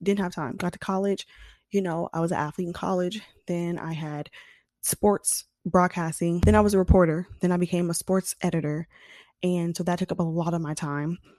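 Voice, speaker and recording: Over a quiet background, a woman speaks at a fairly low pitch in a dark, mellow tone, with a dry, close sound and no echo. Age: 20s. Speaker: podcast host. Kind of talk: casual monologue. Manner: fast; animated.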